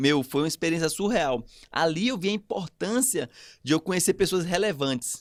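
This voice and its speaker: A man speaks at a moderate pace with a fairly high pitch and very wide swings in pitch. The sound is dry and close with no echo, on a very clean recording with a silent background. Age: 30s. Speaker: podcast guest, networking expert. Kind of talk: casual chat.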